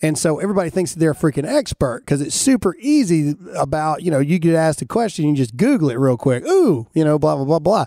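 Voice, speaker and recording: Dark and mellow in tone, the voice races along at a very fast pace with a Southern US accent and hardly any pauses, the sound dry and close with no echo. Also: man, fairly high pitch for a man, lively intonation, very clean recording, silent background. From US South. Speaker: podcast host and military veteran. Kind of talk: casual chat. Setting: studio.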